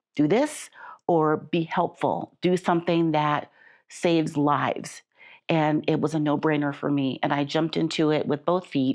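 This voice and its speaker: A woman with an American accent speaks at a fairly slow pace over a quiet background. Her very deep, low voice is monotone and flat in intonation, at very even loudness. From Chicago. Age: 60s. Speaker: patient guest, nonprofit worker. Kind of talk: interview testimony.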